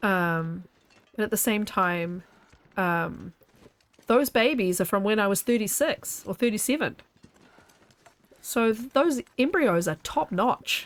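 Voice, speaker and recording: Lively intonation carries this fairly slow delivery, broken by long, frequent pauses. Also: woman, medium pitch for a woman. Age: 40s. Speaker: streamer. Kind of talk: casual chat; live gameplay commentary. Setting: live stream.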